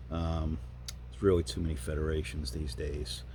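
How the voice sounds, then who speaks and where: A man speaks with a dark, mellow tone, some vocal fry and ordinary pitch variation. Audible room echo surrounds his voice. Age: 60s. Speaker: YouTuber and masters powerlifter. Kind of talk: casual vlog monologue. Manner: conversational with many fillers.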